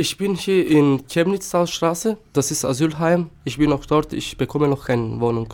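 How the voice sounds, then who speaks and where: A man with a Turkish accent and a fairly high pitch talks at a moderate pace with hardly any pauses and ordinary pitch variation. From North Macedonia, Štip. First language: Turkish (speaking German). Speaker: asylum seeker. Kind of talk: interview. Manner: halting.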